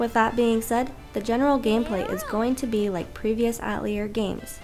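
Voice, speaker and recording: A woman speaks at a moderate pace with a fairly high pitch and ordinary pitch variation, with music playing in the background. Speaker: video game reviewer. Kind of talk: game review narration.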